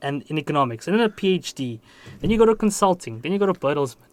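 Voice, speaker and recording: A man speaks very fast in a high pitch. His pitch swings very widely. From South Africa. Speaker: podcast host and graduate student. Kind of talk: podcast interview.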